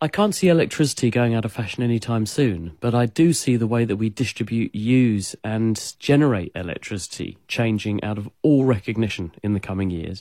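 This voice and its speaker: A man with a British accent talks fairly quickly with hardly any pauses, his tone dark and mellow, at a medium pitch with ordinary pitch variation. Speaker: science expert answering listener questions. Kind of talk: radio call-in Q&A explanation. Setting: radio studio or remote line.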